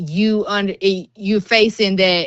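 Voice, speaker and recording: A woman with a Southern US accent, fairly slow pace and fairly even intonation. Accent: Southern US, noticeable. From US South, Georgia, Clayton County. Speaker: school social worker. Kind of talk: podcast interview. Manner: casual, unfiltered speech.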